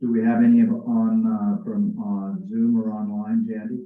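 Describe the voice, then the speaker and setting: Audible room echo surrounds a man's voice. He talks at a fairly slow pace. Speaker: library board chair. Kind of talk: public meeting chairing. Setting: meeting room with audience and Zoom. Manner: hesitant, many fillers.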